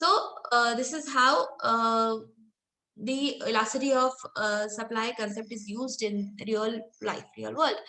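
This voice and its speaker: With an Indian accent, a woman speaks at a fairly slow pace in a fairly high pitch. Her tone is bright and sharp, with ordinary pitch variation. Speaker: professor. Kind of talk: lecture. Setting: online lecture with screen share.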